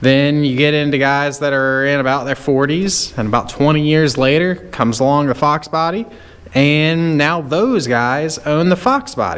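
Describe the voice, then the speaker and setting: Talking at a moderate pace, the man has a fairly high pitch. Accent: Southern US. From US South, rural North Carolina. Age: 30s. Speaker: car YouTuber and mechanic. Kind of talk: casual rant to camera. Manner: casual, hesitant with fillers.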